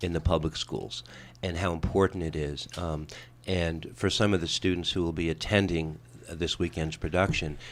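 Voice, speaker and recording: Heard on a very clean recording with a silent background, the speaker has a New York accent, a moderate pace and fairly even intonation. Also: man. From New York (Brooklyn). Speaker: radio talk show host. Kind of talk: radio interview.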